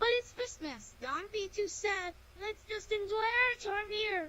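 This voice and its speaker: A squeaky, cartoonish character voice at an extremely high pitch. It moves at a fairly slow pace over clear background noise. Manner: upbeat, easygoing.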